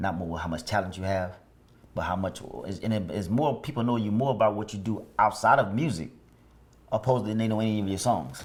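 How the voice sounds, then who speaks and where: A man with an American accent, an unremarkable speaking voice, fairly low pitch, ordinary pitch variation and a fairly quick pace. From Chicago. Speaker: former gang member. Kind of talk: interview answer.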